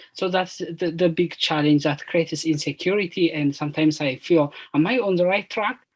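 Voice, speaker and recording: The speaker talks fairly quickly with an Ethiopian accent and hardly any pauses. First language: Amharic. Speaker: PhD student, panelist. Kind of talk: panel discussion. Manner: halting.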